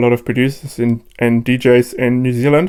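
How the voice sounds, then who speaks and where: In a German accent, the speaker talks at a moderate pace with monotone, flat intonation. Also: man. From Germany, Cologne. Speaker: DJ and producer. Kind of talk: interview. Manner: hesitant, many fillers.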